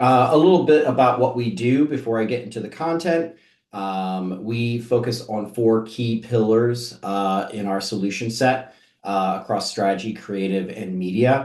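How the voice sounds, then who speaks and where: A man's plain, everyday voice, medium in pitch, with ordinary pitch variation at a moderate pace. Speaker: marketing agency executive. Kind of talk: webinar presentation. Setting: online webinar. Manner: many filler words.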